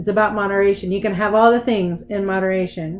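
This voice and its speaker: With fairly even intonation and a medium pitch, a woman talks over noticeable background noise. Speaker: tarot reader. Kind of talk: solo live tarot reading. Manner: halting.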